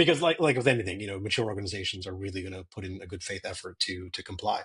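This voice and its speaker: A man with an American accent talks very fast against a quiet background. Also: fairly low pitch for a man, ordinary pitch variation, big swings in loudness. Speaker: cyber security strategist. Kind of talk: interview.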